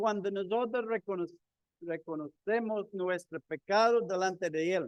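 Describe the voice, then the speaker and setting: Here a man speaks at a fairly slow pace and high pitch with ordinary pitch variation. The sound is dry and close, with no echo. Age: 60s. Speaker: lay preacher. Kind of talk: sermon. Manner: halting.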